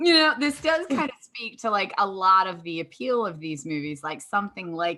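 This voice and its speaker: Talking at a fairly quick pace, the speaker has a plain, everyday voice with ordinary pitch variation. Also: woman. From Appalachia, US South. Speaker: podcast host, film professor. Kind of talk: casual chat.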